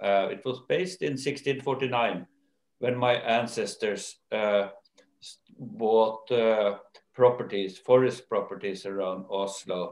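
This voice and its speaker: Audible room echo surrounds a man who talks at a very slow pace with ordinary pitch variation. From Norway. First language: Norwegian. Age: old. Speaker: company owner and chairman; interviewee. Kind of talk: interview. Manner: hesitant, many fillers. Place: home room. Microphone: video call.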